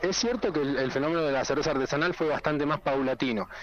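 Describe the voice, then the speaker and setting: Noticeable background noise behind a voice with ordinary pitch variation. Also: man. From rural northwest Buenos Aires province, Argentina. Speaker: bartender and vermouth maker. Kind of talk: casual interview. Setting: phone call.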